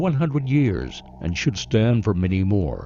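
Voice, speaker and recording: Over background music, a man speaks at a moderate pace with very wide pitch swings. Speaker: radio news reporter. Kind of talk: radio news feature narration.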